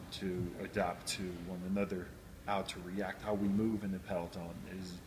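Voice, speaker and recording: A man speaks at a moderate pace in a fairly low voice. His intonation stays flat and monotone. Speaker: professional cyclist. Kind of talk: interview. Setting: on location at race. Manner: halting; loud.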